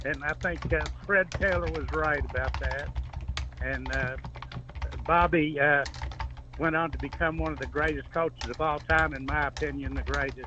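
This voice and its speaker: A man with long, frequent pauses against noticeable background noise. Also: moderate pace. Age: 70s. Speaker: caller. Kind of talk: call-in question. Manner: halting.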